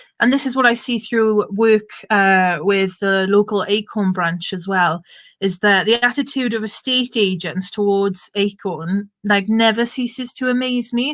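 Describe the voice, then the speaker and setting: A woman in a Welsh Valleys accent talks at a fairly slow pace with hardly any pauses. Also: medium pitch for a woman, ordinary pitch variation. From Wales (south Wales valleys). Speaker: political activist, event chair. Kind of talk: online panel moderation, casual political talk. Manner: animated, informal.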